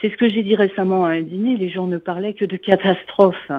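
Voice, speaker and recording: A woman at medium pitch. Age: 60s. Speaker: radio listener caller. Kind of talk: call-in comment. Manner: hesitant, many fillers.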